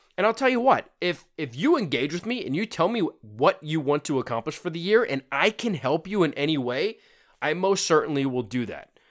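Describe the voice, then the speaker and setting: Very wide pitch swings in a fairly high-pitched male voice. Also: fairly quick pace, very clean recording, silent background. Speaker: fitness podcaster. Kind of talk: unscripted solo podcast monologue. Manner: casual, with frequent fillers and repetitions.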